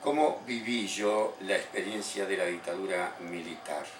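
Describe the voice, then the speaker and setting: Very slowly, a man talks with ordinary pitch variation, his voice carrying audible room echo over noticeable background noise. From Argentina, Buenos Aires province (General Villegas). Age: 60s. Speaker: political activist and former theology student. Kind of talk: interview testimony.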